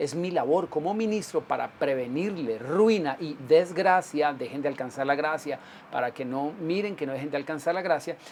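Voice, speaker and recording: A man with a normal speaking voice, fairly high in pitch, at a moderate pace with hardly any pauses and ordinary pitch variation. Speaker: pastor. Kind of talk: sermon. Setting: livestream broadcast.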